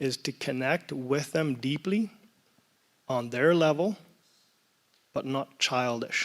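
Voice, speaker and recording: Speaking at a very slow pace with long, frequent pauses, a man uses a fairly high voice with ordinary pitch variation. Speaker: church panelist, father. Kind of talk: panel discussion. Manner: loud.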